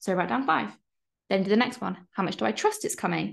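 Over a quiet background, a woman speaks at a fairly quick pace with vocal fry. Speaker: online course coach. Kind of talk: casual, encouraging. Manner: fast talker. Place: home room. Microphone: webcam.

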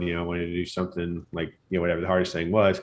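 This man speaks at a very deep, low pitch. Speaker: podcast guest. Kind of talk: interview answer. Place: home room. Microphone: studio mic.

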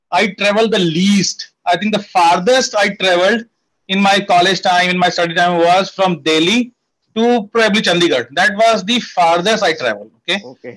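High-pitched speech from a man shows ordinary pitch variation. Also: moderate pace. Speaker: guest. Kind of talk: interview answer. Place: home room. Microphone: earbuds.

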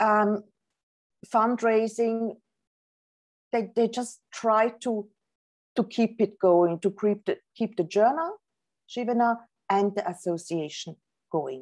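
A woman talks at a very slow pace with long, frequent pauses. Her fairly high voice sits over a quiet background. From Switzerland. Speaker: professor and author. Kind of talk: lecture; Q&A answers. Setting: video call. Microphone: video call.

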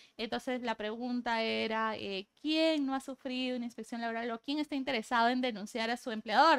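A woman talks at a fairly quick pace in a high pitch, with hardly any pauses. Her intonation is fairly even, and the background is quiet. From Peru, Piura. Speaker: labor law specialist. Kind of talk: casual interview. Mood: relaxed, friendly. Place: studio.

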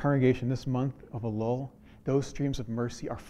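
Plain reading aloud with fairly even intonation is heard here.

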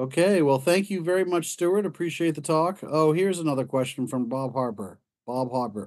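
Over a quiet background, a man with a fairly high pitch talks at a fairly quick pace with lively intonation. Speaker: society board member hosting talk. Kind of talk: formal introduction. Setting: video call. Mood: polite, relaxed. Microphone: video call.

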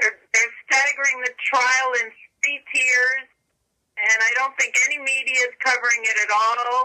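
A woman speaks at a high pitch and a fairly slow pace in a raised, projected voice, with monotone, flat intonation, very even loudness, and a quiet background. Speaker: prayer call participant. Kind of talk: casual chat on prayer call. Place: office. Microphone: webcam.

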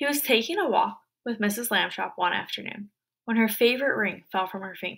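Quiet background behind a natural reading voice

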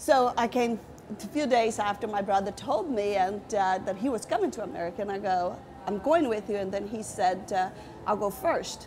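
Moderate-paced speech from a woman over music in the background. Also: ordinary pitch variation. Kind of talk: interview answer. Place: cafe.

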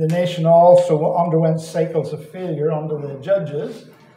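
A man talks at a fairly slow pace. There is light background noise and audible room echo. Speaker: visiting Bible teacher. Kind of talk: sermon. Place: hall.

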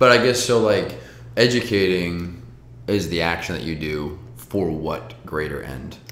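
A man's very deep, low voice with very wide pitch swings, at a fairly slow pace amid audible room echo. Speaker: podcast host. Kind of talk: casual interview chat. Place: home room.

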